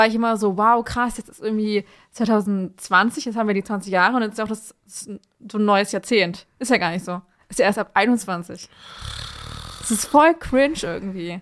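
A woman with a fairly high pitch speaks at a moderate pace, her loudness swinging widely while her pitch varies in an ordinary way, on a very clean recording with a silent background. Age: 20s. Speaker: podcast co-host. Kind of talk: casual chat. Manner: animated.

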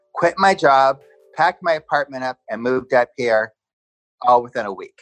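Over music in the background, a man with an American accent talks at a moderate pace with ordinary pitch variation. The sound is dry and close, with no echo. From Southern California. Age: 60s. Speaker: interviewee sharing personal story. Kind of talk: testimony.

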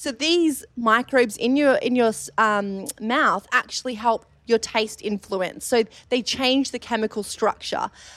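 With an Australian accent, a woman speaks at a high pitch and a fairly slow pace with ordinary pitch variation, in a dry, close sound with no echo on a very clean recording with a silent background. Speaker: dietitian and gut health researcher. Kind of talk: live panel discussion. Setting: stage with audience.

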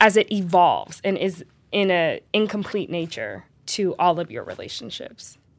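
A woman with an American accent speaks at a medium pitch in a very clean recording with a silent background. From US West Coast, Los Angeles. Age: 30s. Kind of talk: casual conversation.

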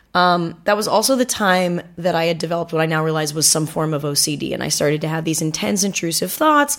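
Talking at a very fast pace with hardly any pauses, a woman speaks with an American accent. Her pitch is fairly low with ordinary variation. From Southern California, Manhattan Beach. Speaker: comedian and actor. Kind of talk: casual chat.

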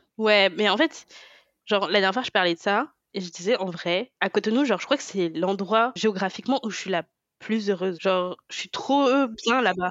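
Speaking at a moderate pace, a woman has an ordinary speaking voice, medium in pitch, with ordinary pitch variation. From France. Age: 20s. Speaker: podcast co-host. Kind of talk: casual chat.

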